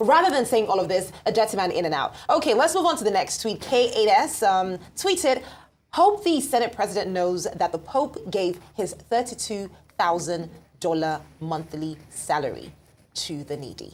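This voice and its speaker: A woman's medium-pitched voice with very wide pitch swings, at a moderate pace. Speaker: TV show host. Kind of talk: news discussion show.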